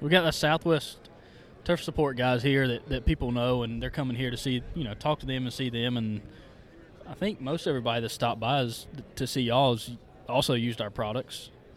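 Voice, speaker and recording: In an American accent, a plain, everyday voice moves at a fairly quick pace with ordinary pitch variation. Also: man, medium pitch for a man. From upstate South Carolina. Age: 30s. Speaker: turf colorant company representative. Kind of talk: casual chat. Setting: trade show booth.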